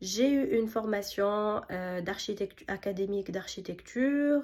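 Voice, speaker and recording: A very slow pace with ordinary pitch variation. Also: woman. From Tunisia. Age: 30s. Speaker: architect and small business owner. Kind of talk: self-presentation pitch. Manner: hesitant, many fillers.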